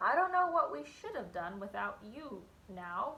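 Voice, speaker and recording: A woman uses a put-on character voice. Her pitch is medium and her pace moderate. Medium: read story.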